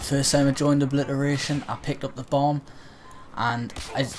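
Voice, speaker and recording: Fairly quick speech from a man, medium in pitch. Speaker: gamer. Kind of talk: gameplay commentary. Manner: speaking carefully and clearly.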